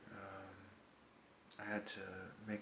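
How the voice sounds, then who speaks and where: A quiet man is heard over noticeable background noise and audible room echo. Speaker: hiker vlogger. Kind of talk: casual video diary. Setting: indoors at a hostel at night. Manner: quiet, hushed.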